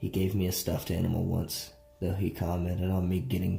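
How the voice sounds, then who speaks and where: Music plays in the background. A man with a very deep, low pitch talks at a moderate pace. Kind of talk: horror story narration.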